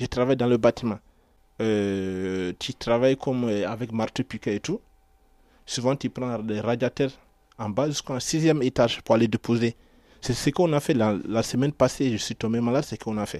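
A man's dark, mellow voice at a moderate pace, on a very clean recording with a silent background. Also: medium pitch for a man, ordinary pitch variation. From Ivory Coast. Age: 20s. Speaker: aspiring footballer and construction worker. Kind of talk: radio portrait interview. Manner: halting.

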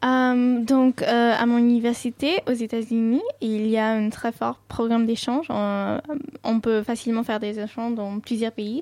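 Speaking at a fairly slow pace, a woman with a Sindhi accent uses a fairly high pitch and fairly even intonation. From Dubai, Indian family from north India. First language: Sindhi (speaking French). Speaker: student and cultural ambassador. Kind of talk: radio interview.

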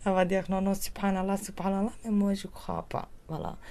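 A woman with a Kurdish accent speaks at a medium pitch. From Turkish Kurdistan. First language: Kurdish (speaking French). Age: 30s. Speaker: singer. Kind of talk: interview testimony. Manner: halting non-native French.

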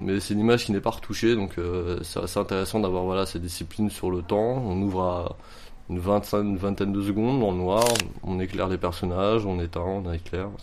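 Fairly quick speech with fairly even intonation comes through noticeable background noise. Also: man, very deep, low pitch for a man. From France, Montreuil (Paris area). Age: 20s. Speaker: amateur photographer. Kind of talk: interview. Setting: at home. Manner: halting.

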